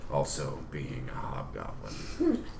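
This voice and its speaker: The speaker uses a put-on character voice. Loud background noise is present. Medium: actual play. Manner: rambling, hesitant.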